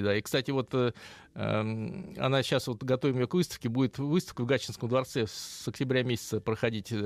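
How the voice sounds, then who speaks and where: A man talks at a very fast pace and medium pitch with ordinary pitch variation, in a dry, close sound with no echo on a very clean recording with a silent background. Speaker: automotive history expert. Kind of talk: interview.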